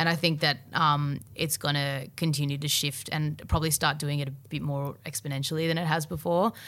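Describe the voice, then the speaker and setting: A woman with an Australian accent and a very deep, low pitch talks at a fairly quick pace with fairly even intonation and hardly any pauses, on a very clean recording with a silent background. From Australia, Melbourne. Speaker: singer-songwriter. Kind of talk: casual chat. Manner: halting.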